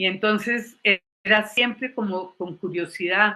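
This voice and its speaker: Fairly slow delivery from a woman, her pitch moving in an ordinary way. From Colombia. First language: English (speaking Spanish). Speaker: psychologist and former university lecturer. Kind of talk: panel talk, personal testimony.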